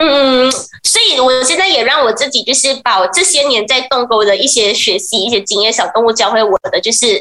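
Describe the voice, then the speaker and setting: Keeping her loudness very even, a high-pitched woman talks at a moderate pace with lively intonation. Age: 20s. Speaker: pet communicator. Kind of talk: radio interview.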